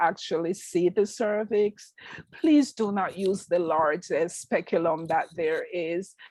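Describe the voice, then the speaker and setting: In a strong Jamaican accent, a woman speaks at a very slow pace and medium pitch with lively intonation. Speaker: nurse practitioner. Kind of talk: interview.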